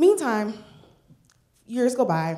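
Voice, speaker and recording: A woman speaks in an American accent at a moderate pace. Audible room echo surrounds her voice. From northern US. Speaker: storyteller. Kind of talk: live storytelling. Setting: stage with audience.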